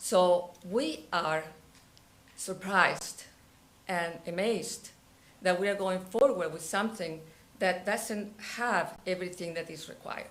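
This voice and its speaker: In a room with audible echo, a woman with a non-native accent speaks fairly slowly at a medium pitch, pausing long and often, her loudness swinging widely while her intonation stays fairly even. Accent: foreign. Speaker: resident speaking at public comment. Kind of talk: public comment at council meeting.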